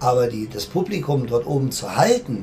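A man's voice, fairly high in pitch. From Germany, circus family. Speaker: circus director. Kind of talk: interview. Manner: fast.

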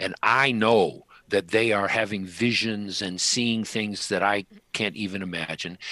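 A man talks at a fairly slow pace in a fairly low pitch. His tone is bright and sharp, his intonation fairly even. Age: 70s. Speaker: author and spiritual healer. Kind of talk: interview. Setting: video call.

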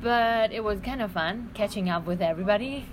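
Noticeable background noise sits behind a woman talking at a moderate pace in a fairly high voice. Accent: Vietnamese. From Vietnam. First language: Vietnamese. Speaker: exchange student. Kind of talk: casual chat. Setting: restaurant.

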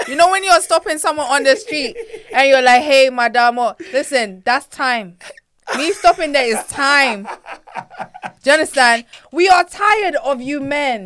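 Using lively intonation, a woman talks at a high pitch and a moderate pace. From United Kingdom, African heritage. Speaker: podcast guest. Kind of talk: casual chat. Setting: studio. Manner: animated.

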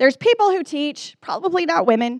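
The pitch swings very widely at a fairly quick pace. The sound is dry and close with no echo, over a quiet background. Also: woman. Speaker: professor and women's conference Bible teacher. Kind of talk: teaching talk to a live audience. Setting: venue with audience and screens. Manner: fast when excited.

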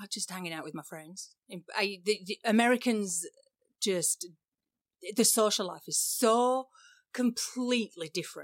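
In a very clean recording with a silent background and a dry, close sound with no echo, a woman with an English accent and medium pitch speaks at a moderate pace with lively intonation, big swings in loudness, and long, frequent pauses. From England. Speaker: photographer and podcast co-host. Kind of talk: casual chat.

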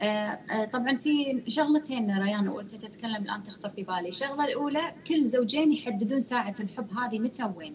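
A woman with a Kuwaiti accent speaks at a moderate pace, barely pausing, with ordinary pitch variation. Background noise is noticeable. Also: fairly high pitch for a woman. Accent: Kuwaiti Gulf Arabic. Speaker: self-development coach. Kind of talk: casual chat in a live stream interview. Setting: video call live stream.

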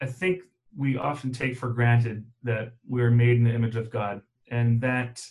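Somewhat breathy, a man talks at a medium pitch and a moderate pace. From Germany. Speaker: math teacher. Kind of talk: interview.

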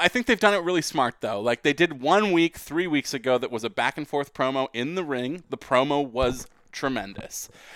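A man talks at a moderate pace with lively intonation and hardly any pauses, his pitch fairly high. The sound is dry and close with no echo, a very clean recording with a silent background. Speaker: wrestling podcast host. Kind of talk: casual chat. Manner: conversational, not announcer-like.

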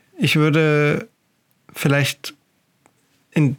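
A man with a fairly high-pitched voice talks at a very slow pace. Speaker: photography podcast host. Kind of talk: solo monologue, casual. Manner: halting, many fillers.

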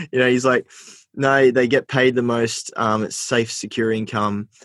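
With an Australian accent, a man speaks at a moderate pace and fairly even intonation in a dry, close sound with no echo. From New South Wales, Australia (Port Macquarie, Armidale). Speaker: social enterprise founder. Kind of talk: interview. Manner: casual, filler-heavy.

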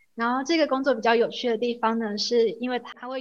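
A woman in a normal speaking voice, with fairly even intonation at a moderate pace. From Taiwan. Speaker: graduate student. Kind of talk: interview.

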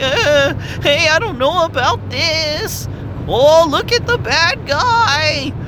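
A put-on character voice speaks in a high pitch at a very slow pace. Loud background noise runs behind it. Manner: comical.

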